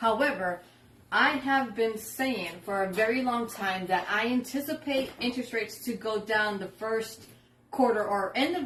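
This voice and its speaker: Using a normal speaking voice, a woman talks at a fairly high pitch that varies in an ordinary way. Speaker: real estate agent. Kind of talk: casual explainer video.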